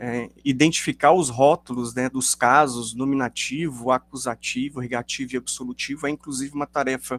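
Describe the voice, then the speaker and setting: In a dry, close recording with no echo, a man speaks at medium pitch and moderate pace with monotone, flat intonation and hardly any pauses. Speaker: linguistics professor. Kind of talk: academic lecture. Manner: hesitant, many fillers.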